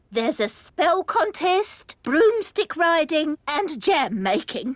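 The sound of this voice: A cartoonish character voice speaks with a high pitch at a fairly slow pace.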